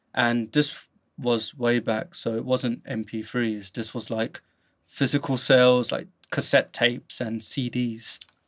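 The speaker has a London accent and a monotone, flat intonation at a very slow pace. The recording is very clean, with a silent background. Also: man, medium pitch for a man. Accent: British (London). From London, England. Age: 30s. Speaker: podcast host. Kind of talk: casual chat.

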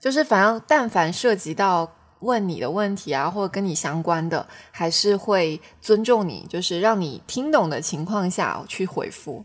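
Here a woman has a plain, everyday voice at a medium pitch, speaking at a fairly slow pace with lively intonation. The recording is very clean, its background silent. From Xiamen, Fujian, China. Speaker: podcast co-host, new mother. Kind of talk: casual chat.

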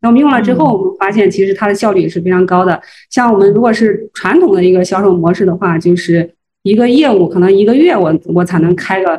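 A woman talks at a very fast pace in a dark, mellow tone. Her pitch is medium with ordinary variation, and her loudness stays very even. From Henan, Zhengzhou. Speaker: food brand marketing executive. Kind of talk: interview. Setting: livestream. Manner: hesitant, many fillers.

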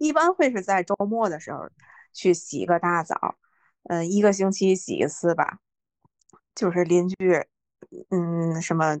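With a fairly low pitch and ordinary pitch variation, a woman speaks at a moderate pace in a dry, close sound with no echo and a quiet background. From northern China. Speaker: podcast co-host. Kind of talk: casual chat.

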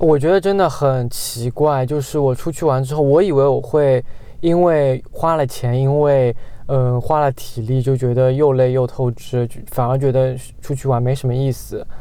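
In an ordinary speaking voice, a man of medium pitch talks at a moderate pace with fairly even intonation. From Guangxi / Yunnan, China. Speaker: podcast co-host. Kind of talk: casual chat.

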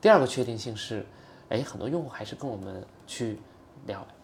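A normal speaking voice from a man, medium in pitch, with ordinary pitch variation and a fairly quick pace. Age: 30s. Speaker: startup founder. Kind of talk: casual interview conversation.

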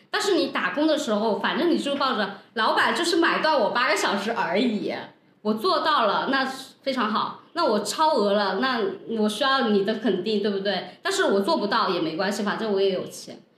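Amid noticeable background noise and audible room echo, a woman with a fairly high pitch speaks at a moderate pace with lively intonation. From Guangdong, China. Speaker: podcast host and entrepreneur. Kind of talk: casual chat. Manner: animated.

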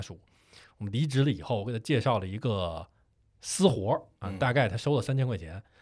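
His voice rises and falls across a very wide range. The man moves at a fairly quick clip, with a quiet background behind him. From Beijing. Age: 30s. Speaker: podcast co-host, video creator. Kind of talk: casual chat.

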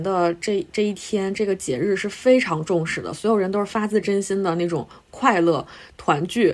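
Very clean recording, silent background, with a woman at medium pitch and moderate pace in an ordinary speaking voice. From Northeast China (Harbin). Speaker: podcast co-host, journalist. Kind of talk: casual chat.

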